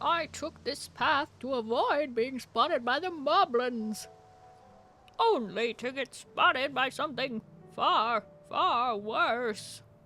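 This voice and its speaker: A female-sounding, put-on character voice, high in pitch and fairly slow in pace, with faint music in the background. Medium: virtual streamer.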